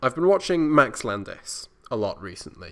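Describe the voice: A man talks at a fairly slow pace in a clear, smooth tone. The recording is very clean, with a silent background.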